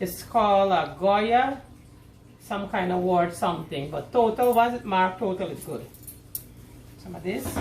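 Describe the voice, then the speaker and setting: A woman with a medium pitch and lively intonation speaks amid audible room echo. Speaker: cooking video host. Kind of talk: cooking tutorial. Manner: animated.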